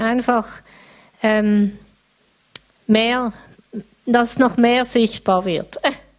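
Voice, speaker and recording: Speaking at a very slow pace, a woman holds a fairly high pitch in a monotone, flat intonation. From Switzerland, Basel area (Riehen). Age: 50s. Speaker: church member. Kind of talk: interview testimony.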